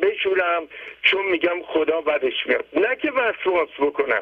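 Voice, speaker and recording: This man speaks at a moderate pace with a high pitch. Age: 80s+. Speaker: caller. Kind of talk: testimony.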